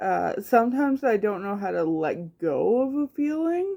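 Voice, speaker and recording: A woman's voice at a very slow pace. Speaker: vlogger talking about neurodivergence. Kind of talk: casual monologue vlog. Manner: many fillers, halting; some inflection, not monotone.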